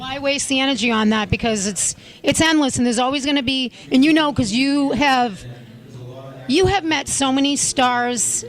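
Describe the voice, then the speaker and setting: Over noticeable background noise, a woman with a high voice speaks at a moderate pace with ordinary pitch variation. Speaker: talk show host. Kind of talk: interview question.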